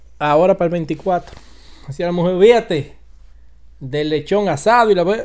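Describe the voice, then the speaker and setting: A man's high voice with a Dominican accent, animated tone, ordinary pitch variation, moderate pace and long, frequent pauses. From Dominican Republic. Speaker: online commentator. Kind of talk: casual vlog commentary. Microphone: studio mic.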